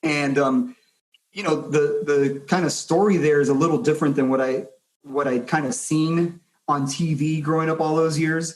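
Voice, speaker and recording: With an American accent, a man of fairly high pitch speaks at a moderate pace in an unremarkable speaking voice, with ordinary pitch variation. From Miami, Florida (Hialeah, Cuban American). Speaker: private lending executive. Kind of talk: podcast interview.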